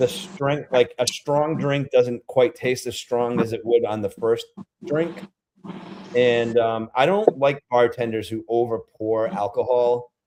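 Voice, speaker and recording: A man's medium-pitched voice with a slight Rhode Island accent and ordinary pitch variation. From Rhode Island, New England. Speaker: beer-tasting vlogger. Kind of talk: casual livestream chat. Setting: livestream. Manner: animated, chatty.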